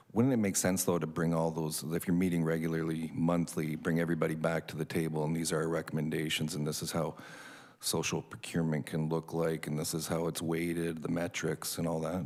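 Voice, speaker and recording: A man mumbles in a very deep, low voice at a fairly quick pace. His intonation is monotone and flat. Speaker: city councillor. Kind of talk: council meeting questioning. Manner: mumbling.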